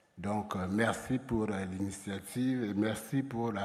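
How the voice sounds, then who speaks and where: A fairly low-pitched male voice at a moderate pace, with fairly even intonation and audible room echo. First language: French. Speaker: insurance regulator official. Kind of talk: conference presentation. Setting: stage with audience. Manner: hesitant, many fillers.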